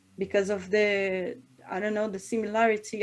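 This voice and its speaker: A woman with a Portuguese accent talks at a moderate pace. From northern Brazil, Belém, Pará. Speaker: singer. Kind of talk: interview. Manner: halting.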